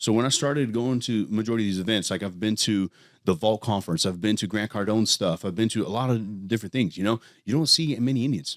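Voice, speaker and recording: On a very clean recording with a silent background, a man talks at a very fast pace in a fairly low pitch with ordinary pitch variation. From California. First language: Punjabi. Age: 30s. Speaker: entrepreneur. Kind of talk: podcast interview. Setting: studio.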